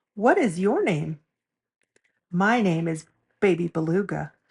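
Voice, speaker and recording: A woman speaks at a fairly slow pace with ordinary pitch variation. Her voice is somewhat breathy, and the sound is dry and close with no echo. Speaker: storyteller. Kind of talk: children's picture book read-aloud.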